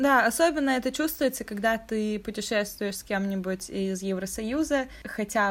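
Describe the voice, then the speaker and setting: On a very clean recording with a silent background, a woman uses a normal speaking voice at a moderate pace with ordinary pitch variation. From Russia. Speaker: podcast co-host. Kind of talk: casual chat.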